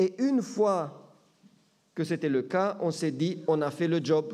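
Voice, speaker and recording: This man's voice is high-pitched, with a dark, mellow tone. He speaks very slowly with ordinary pitch variation. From Romania, German-speaking minority. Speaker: pastor. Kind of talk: sermon. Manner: hesitant with fillers.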